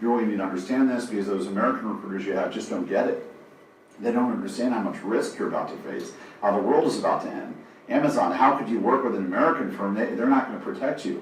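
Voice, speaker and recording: A man talks at a very fast pace. Audible room echo and noticeable background noise come through. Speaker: software company founder and attorney. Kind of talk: business presentation. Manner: animated.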